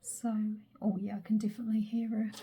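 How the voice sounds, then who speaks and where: A woman speaks quietly. Her voice is fairly high in pitch. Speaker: crafter. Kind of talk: crafting tutorial. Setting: craft room at home.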